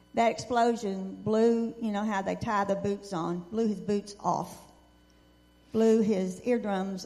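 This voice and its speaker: In a Texan accent, a woman speaks very slowly with monotone, flat intonation. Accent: Texan Southern. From West Texas and East Texas. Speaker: veteran's wife. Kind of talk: testimony.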